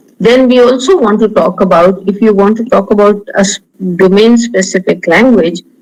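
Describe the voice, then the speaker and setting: Speech comes at a moderate pace. It is delivered in an Indian accent. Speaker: linguistics professor. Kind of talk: lecture.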